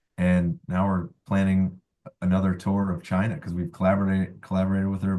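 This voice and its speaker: The voice belongs to a man with a fairly low pitch. He keeps a moderate pace. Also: quiet background. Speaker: musician. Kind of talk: casual chat. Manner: halting.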